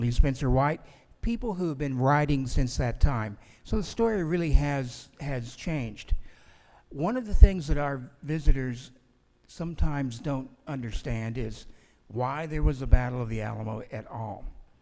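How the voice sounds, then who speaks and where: A man with a dark, mellow tone and medium pitch speaks at a moderate pace with lively intonation, and audible room echo surrounds his voice. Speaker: museum historian. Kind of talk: conference talk. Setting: stage with audience. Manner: projecting loudly.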